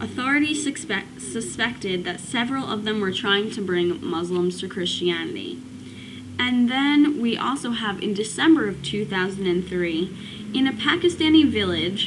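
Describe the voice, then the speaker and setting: A woman talks with very wide pitch swings. Noticeable background noise runs behind her. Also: medium pitch for a woman, moderate pace. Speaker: student. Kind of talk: casual talk to camera. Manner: hesitant, stuttering.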